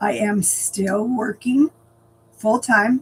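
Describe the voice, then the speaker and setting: There is noticeable background noise here. A woman does the talking. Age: 60s. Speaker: lifestyle vlogger. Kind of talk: casual vlog monologue. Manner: hesitant, many fillers.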